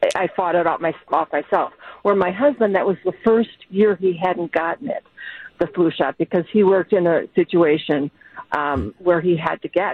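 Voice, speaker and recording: A woman with a normal speaking voice talks at a moderate pace in a fairly low pitch, with ordinary pitch variation. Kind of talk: casual chat.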